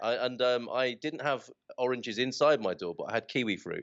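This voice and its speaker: A man with a British accent talks at a fairly quick pace in a medium pitch. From United Kingdom. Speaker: expat, podcast host. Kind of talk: interview answer. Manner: chatty, enthusiastic.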